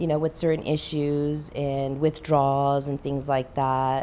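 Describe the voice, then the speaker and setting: A woman speaks with a Spanish accent. Her tone is dark and mellow. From Southern California, Los Angeles area. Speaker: mortgage loan officer. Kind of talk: interview.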